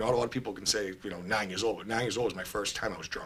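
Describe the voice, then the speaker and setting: A man talks at a very fast pace in a Boston accent. His tone is bright and sharp. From Boston, Massachusetts (East Boston). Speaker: person in addiction recovery. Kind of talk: personal testimony in podcast interview. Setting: studio. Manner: casual, hesitant with many fillers.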